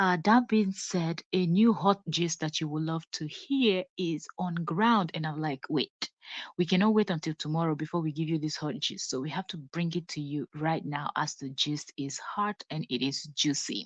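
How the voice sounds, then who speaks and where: In a Nigerian accent, a woman with a fairly low pitch speaks at a moderate pace with ordinary pitch variation and hardly any pauses. The sound is dry and close with no echo, over a quiet background. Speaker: celebrity gossip vlogger. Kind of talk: live stream gossip commentary. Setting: at home, live stream.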